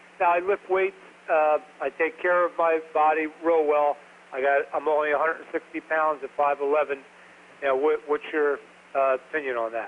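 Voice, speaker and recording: This man speaks at a moderate pace in a fairly high pitch. His is an ordinary speaking voice with fairly even intonation. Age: 50s. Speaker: caller. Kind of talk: call-in question. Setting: phone call.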